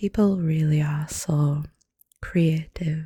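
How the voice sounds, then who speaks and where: A soft-spoken woman with a somewhat breathy, dark, mellow tone and ordinary pitch variation is heard in a dry, close sound with no echo. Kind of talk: ASMR soft-spoken voiceover walkthrough. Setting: voiceover recorded over footage.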